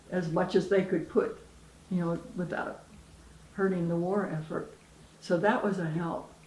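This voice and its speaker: A woman speaks at a moderate pace and a medium pitch, with long, frequent pauses. Her intonation is flat and monotone, and there is noticeable background noise. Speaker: retired teacher. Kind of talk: interview answer.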